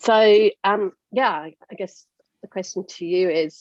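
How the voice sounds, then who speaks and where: Speaking in a British accent, a woman at medium pitch uses lively intonation, recorded dry and close with no echo. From UK. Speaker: podcast host. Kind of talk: interview.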